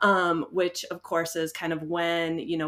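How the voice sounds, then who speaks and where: A woman's fairly low voice in a bright, sharp tone, with a US Midwestern accent. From US Midwest, Iowa. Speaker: veterinarian and podcast host. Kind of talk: podcast conversation. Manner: casual, many fillers.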